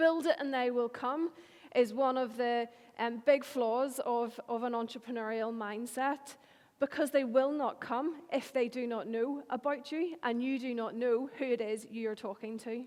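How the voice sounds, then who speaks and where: In a very clean recording with a silent background, a woman with a Northern Irish accent speaks fairly slowly in a high pitch with fairly even intonation. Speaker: marketing agency owner. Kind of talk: conference talk.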